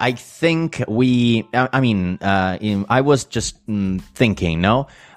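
A man with an Italian accent speaks at a fairly low pitch. His very wide pitch swings stand out in a very clean recording with a silent background. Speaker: podcast host. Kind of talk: casual interview. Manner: hesitant, many fillers.

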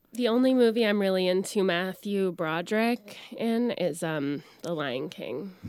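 A woman's unremarkable speaking voice, medium in pitch, with an American accent, at a fairly slow pace with hardly any pauses. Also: lively intonation. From Orlando area, Florida. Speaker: comedian and actress. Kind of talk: casual chat.

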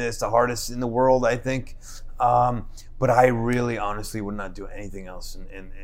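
A man's medium-pitched voice at a moderate pace, monotone and flat, with audible room echo. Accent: New Jersey. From New Jersey, Newark. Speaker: chef and restaurant owner. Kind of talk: casual chat.

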